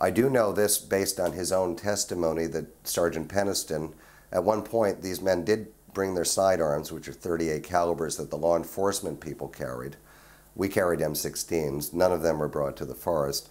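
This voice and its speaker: A moderate pace with ordinary pitch variation. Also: man, very deep, low pitch for a man. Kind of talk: interview answer. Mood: earnest recounting.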